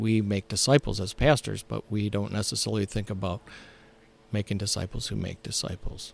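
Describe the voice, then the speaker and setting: An American accent with vocal fry, fairly even intonation and a fairly quick pace, in a dry, close sound with no echo. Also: man, fairly low pitch for a man. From Ohio. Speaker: pastor. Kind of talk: casual interview. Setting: on site at a church camp.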